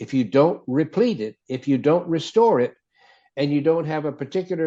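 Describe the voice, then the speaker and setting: This man has an unremarkable speaking voice, fairly high in pitch. He talks at a fairly quick pace with lively intonation. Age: 60s. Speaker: cardiologist and health author. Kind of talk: interview.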